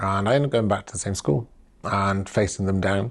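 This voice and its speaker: A man speaks with a South Wales accent and fairly even intonation. The background is quiet. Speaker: LGBT+ activist. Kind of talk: personal testimony. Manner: reflective, with hesitations.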